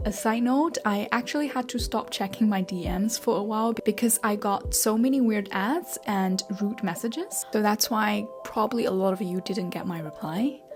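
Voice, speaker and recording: Over music in the background, a woman with a fairly high pitch talks at a moderate pace with lively intonation and hardly any pauses. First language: Chinese. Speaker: self-taught artist and online creator. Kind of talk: personal story vlog.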